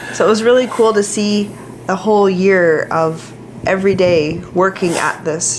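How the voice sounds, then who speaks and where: A woman's fairly low voice with ordinary pitch variation, at a moderate pace, over noticeable background noise. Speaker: fitness coach. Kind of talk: casual chat.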